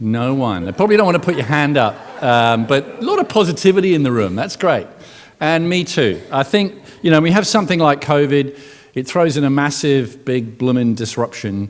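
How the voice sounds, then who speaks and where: A man with a fairly high pitch talks at a fairly quick pace, with very wide pitch swings and noticeable background noise. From England. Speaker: keynote speaker, tech entrepreneur. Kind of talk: conference keynote talk. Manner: conversational, with fillers.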